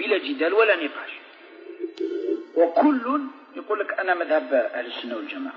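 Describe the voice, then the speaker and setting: Over music in the background, a man with an Algerian accent speaks at a moderate pace with lively intonation. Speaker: Islamic preacher. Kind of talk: religious lecture.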